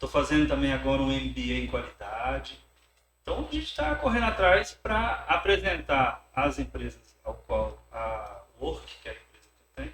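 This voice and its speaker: Big swings in loudness run through the man's speech at a moderate pace. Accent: Goiás. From Goiás, Brazil (born in Rio de Janeiro). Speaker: workplace safety specialist. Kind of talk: interview.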